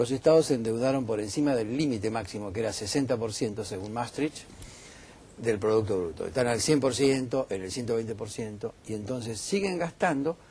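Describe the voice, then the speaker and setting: A man talks at a fairly quick pace and medium pitch, with ordinary pitch variation. It is an ordinary speaking voice. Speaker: economist. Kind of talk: heated debate.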